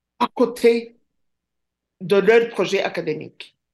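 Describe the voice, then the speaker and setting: This woman speaks at a very slow pace. The background is quiet. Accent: Rwandan. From Rwanda. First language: Kinyarwanda (speaking French). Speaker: professor. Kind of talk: interview.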